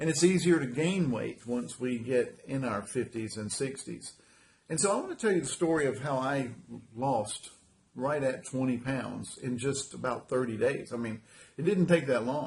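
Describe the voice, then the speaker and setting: The man's voice is somewhat breathy and medium in pitch. His pitch varies in an ordinary way. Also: moderate pace. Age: 60s. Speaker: carpet cleaning business owner sharing weight loss story. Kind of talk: personal testimony. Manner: casual, halting with fillers and repetitions.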